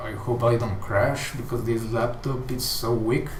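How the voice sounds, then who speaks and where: Someone with a strong Mexican accent speaks amid noticeable background noise and audible room echo. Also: man. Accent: thick Mexican Spanish. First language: Spanish. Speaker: game developer streamer. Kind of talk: casual live stream chat. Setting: live stream. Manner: slow.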